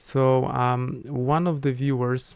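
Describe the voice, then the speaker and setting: His pitch sits in the medium range. The man talks with a non-native accent. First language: not English. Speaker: astrologer. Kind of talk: live stream talk. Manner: hesitant, many fillers. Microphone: considering switching to better mic.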